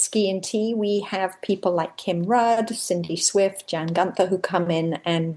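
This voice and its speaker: A woman with an English accent at medium pitch, speaking at a fairly slow pace with fairly even intonation. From England. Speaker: member of a women's ski training group. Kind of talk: casual interview chat.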